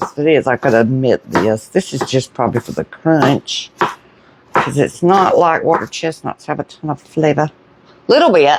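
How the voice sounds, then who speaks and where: A woman with a Southern US accent speaks quietly in a very deep, low pitch, her pitch swinging very widely between long, frequent pauses. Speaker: home cooking vlogger. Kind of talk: casual cooking chat. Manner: slow; starts loud, trails off quieter.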